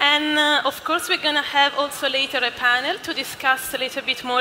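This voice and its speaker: A woman speaks in a raised, projected voice over light background noise. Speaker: event host. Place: hall. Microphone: headset.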